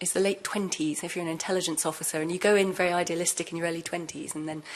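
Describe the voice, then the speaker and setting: Speaking very fast, a woman with a British accent uses a fairly low pitch. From UK. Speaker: former intelligence officer turned whistleblower. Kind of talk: panel discussion.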